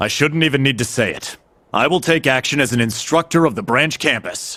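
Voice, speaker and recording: A put-on character voice is used. It moves at a fairly quick pace. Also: man, fairly high pitch for a man. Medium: video game.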